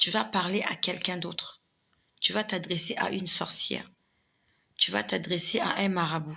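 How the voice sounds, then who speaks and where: A woman with vocal fry and a bright, sharp tone speaks at a moderate pace with a fairly low pitch and ordinary pitch variation. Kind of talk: live religious testimony and warning to viewers. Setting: live video stream.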